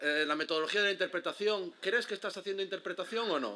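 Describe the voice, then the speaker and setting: With an Andalusian accent, a man speaks in a raised, projected voice that has a high pitch, a bright, sharp tone and ordinary pitch variation. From Galicia, Spain. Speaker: heritage interpretation guide. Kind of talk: conference talk. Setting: stage with audience. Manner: fast; casual, with many fillers and false starts.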